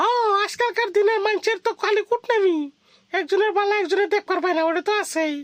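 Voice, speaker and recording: In a cartoonish character voice, a woman speaks at an extremely high pitch and a fairly quick pace with very even loudness, in a dry, close sound with no echo. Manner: blunt, colloquial.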